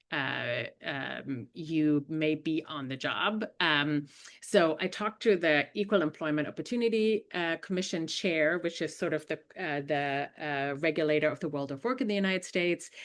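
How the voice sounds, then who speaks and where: A woman speaks in a strong German accent with a very deep, low pitch. Her pace is moderate, her pitch varies in an ordinary way, and the background is quiet. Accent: thick German. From Germany. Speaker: investigative journalist. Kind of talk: webinar presentation. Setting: online webinar. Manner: many fillers and hesitations.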